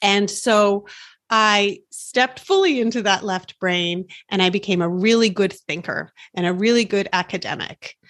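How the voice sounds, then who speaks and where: Heard on a very clean recording with a silent background, a normal speaking voice moves at a moderate pace with fairly even intonation. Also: woman, medium pitch for a woman. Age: 40s. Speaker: life coach and podcast host. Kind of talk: casual interview chat.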